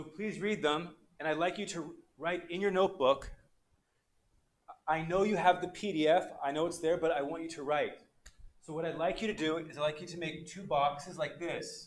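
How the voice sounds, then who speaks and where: There is audible room echo as a man speaks at a moderate pace with a high pitch. He takes long, frequent pauses. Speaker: English teacher. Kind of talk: online class lecture. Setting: livestream. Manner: animated.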